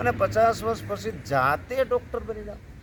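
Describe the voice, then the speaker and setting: A man's pitch swings very widely as noticeable background noise carries on behind him. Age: 50s. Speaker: yoga teacher and schoolteacher. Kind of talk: health tutorial video.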